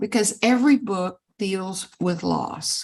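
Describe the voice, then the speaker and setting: Somewhat breathy, a woman talks at a very slow pace with lively intonation. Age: 80s+. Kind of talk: interview conversation.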